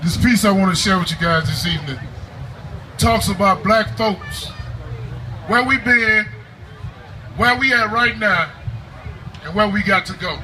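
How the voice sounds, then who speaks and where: A man with a high pitch for a man speaks at a moderate pace in a raised, projected voice, with lively intonation, long, frequent pauses and noticeable background noise. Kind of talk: spoken word poetry performance.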